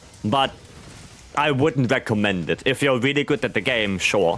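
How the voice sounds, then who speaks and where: Very wide pitch swings from a man at a medium pitch, a moderate pace and noticeable background noise. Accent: German. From Germany. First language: German. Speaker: video game streamer. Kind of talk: live gameplay stream chat. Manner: halting, repeats words.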